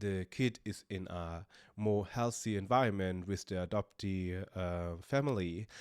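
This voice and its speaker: A man's fairly low voice at a very slow pace. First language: German. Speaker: podcaster. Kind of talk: personal vlog monologue. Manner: halting, many fillers.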